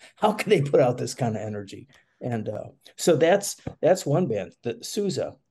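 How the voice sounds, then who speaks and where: A man with an American accent has a dark, mellow, somewhat breathy tone and a fairly high pitch, swinging very widely in pitch at a moderate pace. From Chicago. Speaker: music event organizer. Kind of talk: casual interview. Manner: halting, many fillers.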